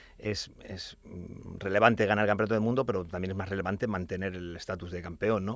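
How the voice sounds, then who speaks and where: The man talks at a very fast pace with a fairly low pitch. His intonation is fairly even, but his loudness swings widely. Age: 40s. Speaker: natural bodybuilding champion. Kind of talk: casual chat. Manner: halting.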